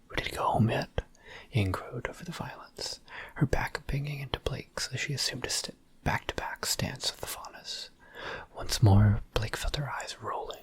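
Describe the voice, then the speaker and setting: A relaxed whisper at a moderate pace, with noticeable background noise. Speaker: ASMR creator. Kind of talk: ASMR fanfiction reading. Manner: soft, relaxed ASMR narration.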